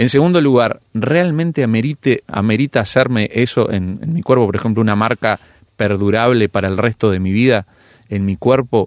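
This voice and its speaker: Heard in a very clean recording with a silent background and a dry, close sound with no echo, a man uses an ordinary speaking voice at a medium pitch, with ordinary pitch variation and a moderate pace. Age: 30s. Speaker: pastor and youth leader. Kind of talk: radio interview.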